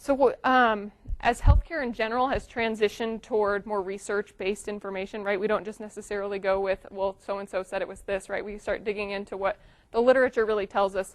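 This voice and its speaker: A woman speaks very fast at a medium pitch. Her intonation stays fairly even. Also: quiet background. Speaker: physical therapist and professor. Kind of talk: lecture.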